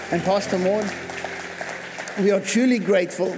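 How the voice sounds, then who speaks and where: Crowd noise sits in the background as a man with a high pitch speaks at a moderate pace. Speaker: pastor. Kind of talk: church service welcome. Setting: church. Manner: animated.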